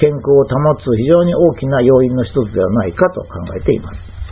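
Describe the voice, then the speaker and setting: Noticeable background noise runs through the clip. A man speaks at a moderate pace over it. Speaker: health commentator. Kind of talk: lecture. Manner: formal.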